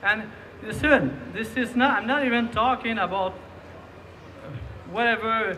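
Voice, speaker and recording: A man speaks in a high voice with a Quebec accent. His pace is fairly slow. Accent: Québécois French. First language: French. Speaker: rally speaker. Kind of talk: public speech. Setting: outdoor rally. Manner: halting, many repetitions.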